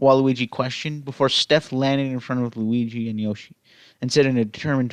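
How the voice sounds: Fairly level pitch from someone reading in a natural voice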